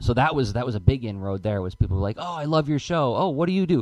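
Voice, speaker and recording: A man talks at a very fast pace in an enthusiastic tone. His medium pitch carries lively intonation. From rural area. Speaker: cartoonist and teaching artist. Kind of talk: casual interview chat.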